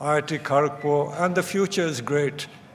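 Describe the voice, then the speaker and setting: A man talks at a moderate pace with ordinary pitch variation, over noticeable background noise and audible room echo. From India. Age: 80s+. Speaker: chief guest and alumnus at a convocation. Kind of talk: convocation speech. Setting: auditorium with audience.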